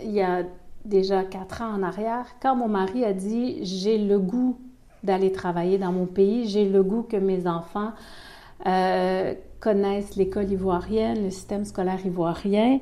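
A woman's dark, mellow voice at medium pitch with a Quebec accent, fairly slow and fairly even in intonation, with audible room echo. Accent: Québécois French. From Quebec City, Canada. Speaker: pastoral worker. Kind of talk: radio interview. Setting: office at a pastoral centre.

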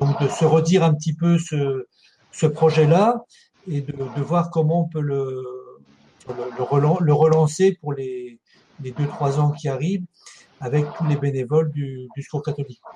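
A man speaks at a fairly slow pace with fairly even intonation, leaving long, frequent pauses. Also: fairly high pitch for a man. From France, Ardennes. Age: 60s. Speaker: charity volunteer leader, retired social centre director. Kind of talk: interview. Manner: halting, many hesitations.

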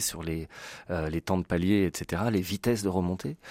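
In a dry, close recording with no echo and a silent background, a man with a very deep, low pitch speaks at a moderate pace with fairly even intonation. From France, Lyon. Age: 40s. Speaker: commercial diver and association founder. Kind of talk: radio interview.

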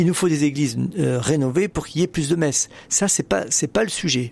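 A fairly high-pitched male voice. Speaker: newspaper editor-in-chief, religion. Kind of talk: radio panel discussion. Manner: halting, frequent repetitions.

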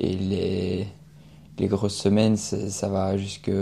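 A man's dark, mellow voice, fairly low in pitch, with monotone, flat intonation. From Belgium, Liège. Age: 20s. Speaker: student athlete. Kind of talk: radio interview.

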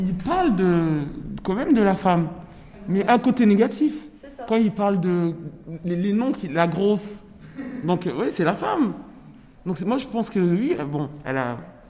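Against noticeable background noise and audible room echo, a woman speaks fairly slowly with lively intonation and long, frequent pauses. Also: medium pitch for a woman. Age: 40s. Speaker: prison inmate. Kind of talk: book discussion. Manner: halting.

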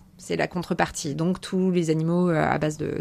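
This woman talks at a moderate pace in a fairly low pitch, her intonation flat and monotone. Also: very clean recording, silent background. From US, Maryland (Chesapeake Bay) until 12, then France. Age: 30s. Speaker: ocean conservation communicator. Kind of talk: interview. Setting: aboard a sailboat. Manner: hesitant, many euh fillers.

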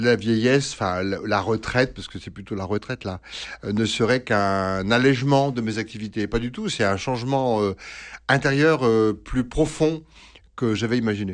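A man at medium pitch with ordinary pitch variation and a fairly slow pace, against a quiet background. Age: 60s. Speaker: priest and psychoanalyst. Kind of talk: radio interview. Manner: halting, many hesitations.

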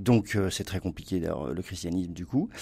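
Against a silent background in a very clean recording, a man speaks with lively intonation and a dark, mellow tone. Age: 50s. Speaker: writer and culture columnist. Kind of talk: casual chat. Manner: hesitant.

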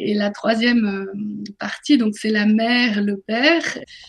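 Fairly high and somewhat breathy, this woman's voice holds fairly even intonation. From northern France. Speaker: author and business coach. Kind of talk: radio interview.

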